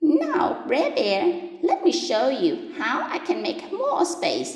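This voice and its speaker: A woman uses a put-on, squeaky character voice with an extremely high pitch and lively intonation. She speaks at a very slow pace, with a slight echo. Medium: read story. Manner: wheedling, flattering.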